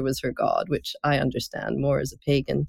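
The sound is dry and close with no echo. A woman talks at a moderate pace. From Scotland. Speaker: oncology nurse and nonprofit founder. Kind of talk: interview conversation. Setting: video call.

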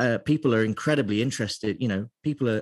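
With an East Midlands accent, the speaker uses ordinary pitch variation in a dry, close sound with no echo. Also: man, quiet background. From England, Lincolnshire. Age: 30s. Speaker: beer writer. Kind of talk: interview.

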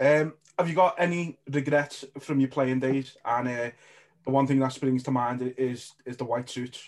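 A man talks in a normal speaking voice at medium pitch. His pace is fairly slow and his intonation fairly even. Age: 20s. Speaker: podcast host. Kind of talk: casual chat.

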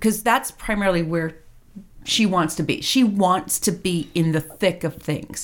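Captured in a very clean recording with a silent background, an unremarkable speaking voice goes along at a moderate pace. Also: woman. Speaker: tabletop role-playing player. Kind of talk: casual interview.

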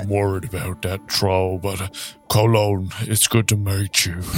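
With music in the background, a man uses a put-on character voice at a fairly low pitch and a moderate pace. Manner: slow, simple, earnest.

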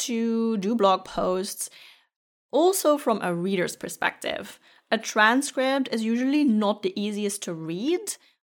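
A woman with a non-native accent, fairly high in pitch and fairly slow, with lively intonation, in a very clean recording with a silent background. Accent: non-native accent, noticeable. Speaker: podcast host and consultant. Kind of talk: tutorial. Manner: friendly, conversational.

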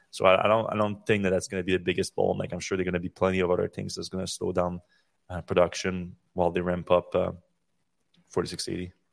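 Recorded very cleanly against a silent background with a dry, close sound and no echo, a man speaks at a very fast pace in a very deep, low, monotone voice with flat intonation. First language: French. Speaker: podcast host. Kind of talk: casual chat. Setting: live stream.

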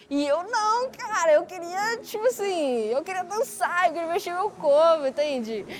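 Noticeable background noise accompanies fairly slow speech with very wide pitch swings. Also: woman, extremely high pitch for a woman. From Belo Horizonte, Minas Gerais, Brazil. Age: 20s. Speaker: breaking dancer. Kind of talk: interview testimony. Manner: casual, slangy.

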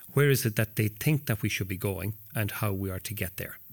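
A man with an Irish accent speaks at a fairly quick pace in a fairly low, somewhat breathy voice with ordinary pitch variation, on a very clean recording with a silent background. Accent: Irish (Mayo). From west of Ireland, County Mayo coast. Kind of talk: interview. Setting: hotel. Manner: halting, many repetitions and fillers.

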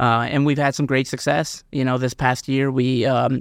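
A man with an unremarkable speaking voice at a medium pitch talks at a fairly quick pace against a quiet background. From Missouri. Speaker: retail consultant. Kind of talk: interview. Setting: studio.

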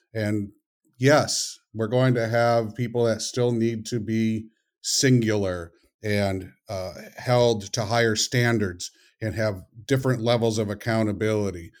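Very clean with a silent background, the recording holds an ordinary speaking voice: a man at medium pitch, speaking at a fairly slow pace with fairly even intonation. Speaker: author and consultant. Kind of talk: casual interview.

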